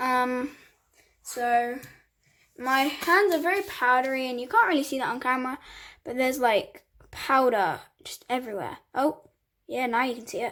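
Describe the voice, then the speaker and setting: A woman with a British accent speaks high-pitched at a moderate pace, her tone bright and sharp. Her loudness swings widely, and she leaves long, frequent pauses. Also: ordinary pitch variation. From England. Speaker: hobby vlogger. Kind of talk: casual tutorial voiceover. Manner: casual, chatty.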